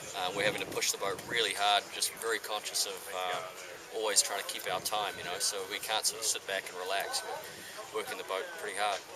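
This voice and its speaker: Noticeable background noise sits beneath speech delivered at a fairly quick pace. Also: man. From New Zealand. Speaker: sail designer. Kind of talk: casual interview. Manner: hesitant, many fillers.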